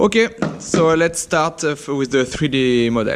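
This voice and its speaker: He is a man with a French accent. His pitch varies in an ordinary way. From France. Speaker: engineering lecturer. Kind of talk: tutorial. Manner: halting, many fillers.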